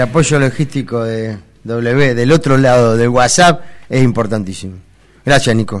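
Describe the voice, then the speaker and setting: A man speaks with a Rioplatense accent at a medium pitch. His pitch varies in an ordinary way. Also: moderate pace. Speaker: radio host. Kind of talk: casual chat.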